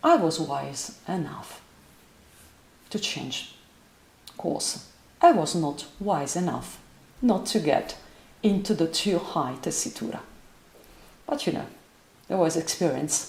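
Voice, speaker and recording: With audible room echo, a woman with a fairly low voice speaks very slowly, using lively intonation and long, frequent pauses. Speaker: voice teacher. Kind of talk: lecture. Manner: halting.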